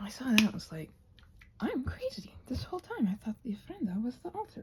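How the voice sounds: The voice has a dark, mellow tone with a husky, rough edge, moving at a fairly quick pace through very wide pitch swings. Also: woman, high pitch for a woman.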